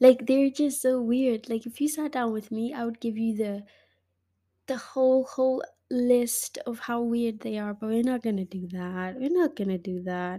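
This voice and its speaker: Recorded very cleanly against a silent background, a woman with a fairly high pitch and a dark, mellow tone speaks at a fairly slow pace with ordinary pitch variation. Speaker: podcaster. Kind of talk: solo personal podcast, Q&A about herself. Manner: nervous, hesitant with filler words; casual, chatty.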